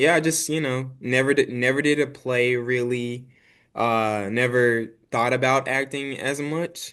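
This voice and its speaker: A man with a slight country accent speaks at a fairly slow pace. His pitch is medium and his intonation fairly even against a quiet background. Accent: slight country twang. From Arkansas and Dallas, Texas. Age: 20s. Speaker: actor and filmmaker. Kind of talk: casual interview chat.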